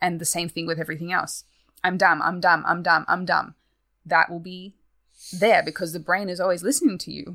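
Bright and sharp in tone, a woman talks at a fairly quick pace with a fairly low pitch. Her intonation is fairly even, in a slight Australian accent. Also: big swings in loudness. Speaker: guest. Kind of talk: casual chat.

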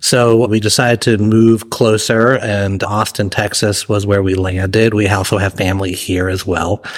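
A man's fairly low, monotone, flat voice at a moderate pace with hardly any pauses, over noticeable background noise. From Massachusetts. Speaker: chef and restaurant owner. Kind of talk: interview.

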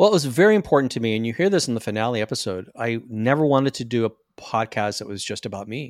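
Talking at a very fast pace, a man with an American accent and medium pitch shows ordinary pitch variation and big swings in loudness on a very clean recording with a silent background. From US Deep South, small-town Florida. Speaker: actor, attorney and podcaster. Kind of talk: interview conversation.

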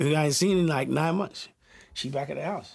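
A man is speaking. His voice is somewhat breathy. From South London, England. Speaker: music producer. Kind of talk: casual interview.

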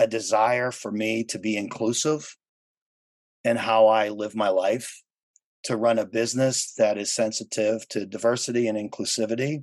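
A man's medium-pitched voice at a moderate pace, fairly even in intonation, an unremarkable speaking voice. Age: 50s. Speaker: tourism industry professional and event chair. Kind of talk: casual interview chat.

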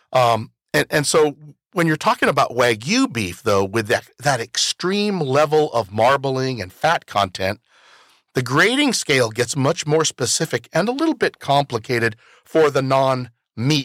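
Someone speaks with an American accent at a moderate pace and lively intonation, a normal speaking voice. The recording is very clean, with a silent background. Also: man. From Washington, Yakima Valley (Toppenish). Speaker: podcast host. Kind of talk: interview. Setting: studio.

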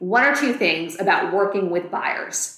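A woman speaks at medium pitch in a normal speaking voice. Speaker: real estate agent and podcast host. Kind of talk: podcast discussion, casual conversation.

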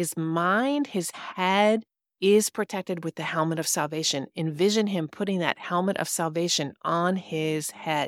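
In a very clean recording with a silent background and a dry, close sound with no echo, a woman talks in a plain, everyday voice, her pitch fairly low and its variation ordinary. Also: fairly slow pace. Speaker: podcast host and stepfamily coach. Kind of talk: fervent guided prayer, leading listeners through visualization of armor of God; devotional teaching with prayer. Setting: studio podcast recording. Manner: earnest, warm, exhorting and imploring, urgent pastoral intensity.

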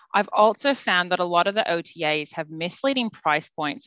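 Over a quiet background, a woman with an Australian accent talks at a moderate pace, her fairly low voice bright and sharp in tone with lively intonation. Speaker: travel agent. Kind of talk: casual chat.

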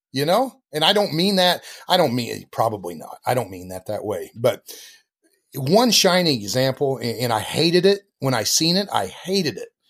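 In an American accent, a man speaks at a fairly high pitch with vocal fry, very wide pitch swings and big swings in loudness. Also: moderate pace. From US Midwest, southern Iowa. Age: 50s. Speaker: livestock photographer. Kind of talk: casual interview. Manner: animated.

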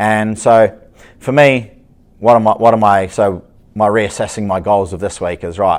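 A man speaks at a moderate pace with fairly low pitch and an ordinary speaking voice. The recording is very clean, with a silent background. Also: fairly even intonation. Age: 40s. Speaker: strength and conditioning coach, podcast host. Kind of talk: solo podcast monologue. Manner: casual, with many filler words.

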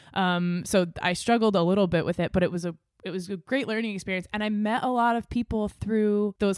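A woman with a plain, everyday voice talks at a fairly quick pace with fairly even intonation, in a dry, close sound with no echo on a very clean recording with a silent background. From US Northeast, New Hampshire seacoast. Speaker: audio engineer and podcast producer. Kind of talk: casual chat.

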